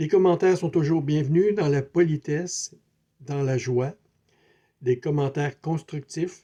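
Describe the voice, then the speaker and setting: A man with a Quebec accent speaks at a fairly high pitch and a fairly slow pace, his dark, mellow tone somewhat breathy, his intonation fairly even, and his speech marked by long, frequent pauses. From Quebec City, Canada. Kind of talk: spiritual video talk. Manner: hesitant, many fillers; repetitive, conversational.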